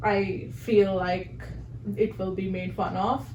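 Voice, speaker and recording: Audible room echo surrounds a woman's voice. She speaks at a medium pitch with vocal fry. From southern India. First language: Telugu. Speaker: podcast co-host. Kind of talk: casual chat.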